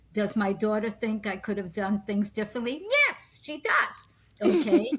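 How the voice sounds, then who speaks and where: A woman talks at a moderate pace and a fairly high pitch with ordinary pitch variation, against noticeable background noise. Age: 80s+. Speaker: psychic healer and artist. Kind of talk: interview conversation.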